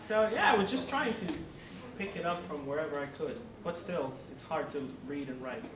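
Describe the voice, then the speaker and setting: At a moderate pace, a speaker with a Spanish accent takes long, frequent pauses over noticeable background noise. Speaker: international student. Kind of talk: group discussion. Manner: hesitant, many fillers.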